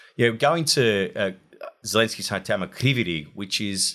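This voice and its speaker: A man with an Australian accent speaks at a moderate pace in a bright, sharp tone, his medium pitch moving with ordinary variation, on a very clean recording with a silent background. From Australia, Wollongong. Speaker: war correspondent. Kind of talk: interview.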